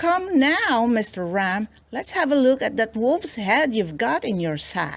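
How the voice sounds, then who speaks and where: A woman puts on a character voice with a fairly high pitch, speaking fairly slowly with very wide pitch swings. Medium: read story. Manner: crafty, confident.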